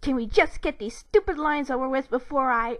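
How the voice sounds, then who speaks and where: In a put-on character voice, a woman growls at a high pitch and a fairly quick pace, on a very clean recording with a silent background. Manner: growling, annoyed.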